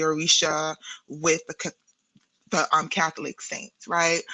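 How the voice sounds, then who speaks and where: The speaker has a New York accent and a bright, sharp tone. The pace is moderate. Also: woman. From New York City (Brooklyn, Queens); born in Guyana. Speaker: therapist and spiritual practitioner. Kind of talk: podcast interview. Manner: halting, with many repetitions and fillers.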